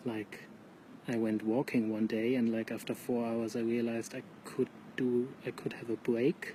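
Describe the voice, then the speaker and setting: A soft-spoken man talks with monotone, flat intonation. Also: medium pitch for a man, moderate pace. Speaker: vlogger. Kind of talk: casual live monologue. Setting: outdoors at night near a pub.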